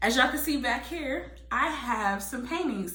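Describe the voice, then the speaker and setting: A woman with a high pitch is heard amid noticeable background noise. Audible room echo surrounds her voice. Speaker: lifestyle vlogger. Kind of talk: casual vlog monologue. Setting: home spare room. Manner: fast.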